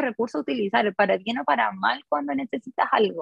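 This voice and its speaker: With vocal fry and very wide pitch swings, a woman speaks in a dry, close sound with no echo. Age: 30s. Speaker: designer and small business owner. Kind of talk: interview.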